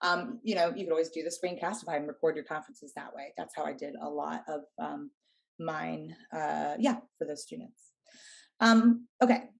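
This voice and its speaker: A woman talks with vocal fry at a fairly low pitch. Her pitch swings very widely. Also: big swings in loudness. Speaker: high school English and theater teacher. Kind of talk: professional development workshop presentation. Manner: fast.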